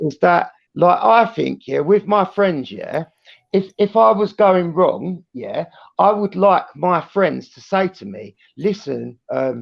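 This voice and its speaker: Speaking very slowly with a British accent, a man lets his loudness swing widely. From Britain. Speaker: live stream guest. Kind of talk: casual chat. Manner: animated.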